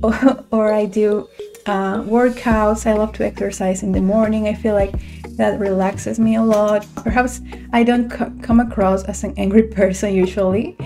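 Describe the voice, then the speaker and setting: The speech moves at a moderate pace with fairly even intonation. Music plays clearly in the background. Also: woman. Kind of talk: casual vlog chat. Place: home room. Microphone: studio mic.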